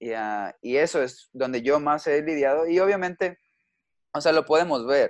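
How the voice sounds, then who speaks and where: In a quiet background, a man with a plain, everyday voice talks at a moderate pace, his pitch fairly high with ordinary variation. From Mexico. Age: 20s. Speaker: youth pastor. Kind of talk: casual chat.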